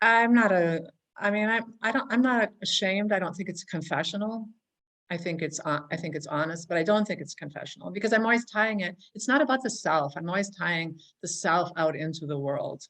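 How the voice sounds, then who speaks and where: Her pace is fairly quick and her intonation lively. This woman speaks at a medium pitch. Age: 60s. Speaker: writer. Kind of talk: interview conversation. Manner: halting with repetitions.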